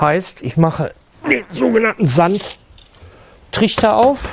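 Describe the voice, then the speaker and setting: A man's voice with a high pitch. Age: 60s. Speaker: sound engineer, foley artist. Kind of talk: tutorial. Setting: studio. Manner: casual, with fillers.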